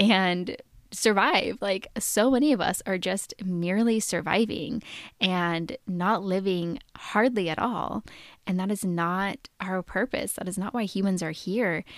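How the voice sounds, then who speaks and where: Ordinary pitch variation in a woman's medium-pitched speech, captured on a very clean recording against a silent background. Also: fairly slow pace. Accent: American. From Oregon, US. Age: 20s. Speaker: podcast host. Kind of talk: solo podcast monologue. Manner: casual, with filler words.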